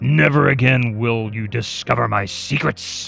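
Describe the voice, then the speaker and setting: A man speaks at a moderate pace in a growling, put-on character voice, his pitch medium and his intonation lively. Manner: snarling through clenched teeth.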